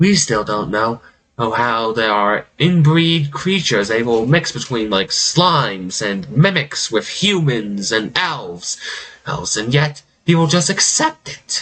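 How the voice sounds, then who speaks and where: Putting on a character voice, a man talks at a fairly slow pace with a medium pitch. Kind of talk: villainous monologue. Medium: actual play. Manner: theatrical, mocking, self-amused.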